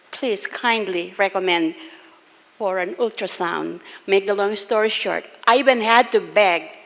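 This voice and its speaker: A woman talks at a fairly slow pace and a medium pitch, with ordinary pitch variation. There is noticeable background noise. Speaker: breast cancer survivor, patient speaker. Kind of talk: testimony. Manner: emotional, emphatic.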